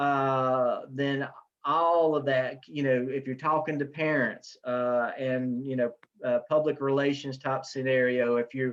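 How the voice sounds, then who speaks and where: A man's medium-pitched, monotone, flat delivery at a fairly slow pace, with a Southern US accent and a quiet background. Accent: Southern US (Wilkes County) dialect. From US South, Wilkes County, North Carolina. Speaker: professor. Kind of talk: online class Q&A session. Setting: video call. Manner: casual, hesitant with many fillers.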